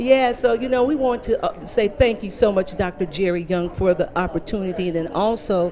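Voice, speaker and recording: A woman speaks with lively intonation against noticeable background noise. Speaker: mental health coordinator and TV host. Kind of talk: Facebook live interview. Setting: live stream at a hotel venue. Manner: fast; animated.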